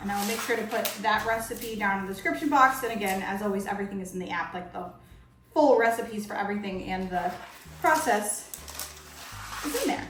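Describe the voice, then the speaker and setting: Medium in pitch, a woman talks at a fairly quick pace, broken by long, frequent pauses. Audible room echo and noticeable background noise fill the recording. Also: ordinary pitch variation. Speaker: cooking channel host. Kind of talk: cooking tutorial. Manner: fast; casual, conversational.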